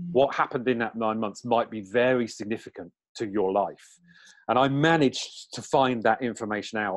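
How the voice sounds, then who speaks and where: Against a quiet background, a man with an English accent talks at a fairly quick pace, at medium pitch with ordinary pitch variation. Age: 40s. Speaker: numerologist and spiritual teacher. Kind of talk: interview.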